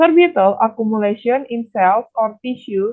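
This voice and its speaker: A woman talks at a fairly slow pace with a fairly high pitch. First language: Indonesian. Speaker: nutrition student. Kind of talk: academic presentation. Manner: formal.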